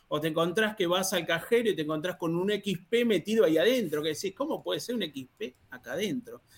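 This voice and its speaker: At a moderate pace, a man speaks. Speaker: free software user and mentor. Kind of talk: podcast interview.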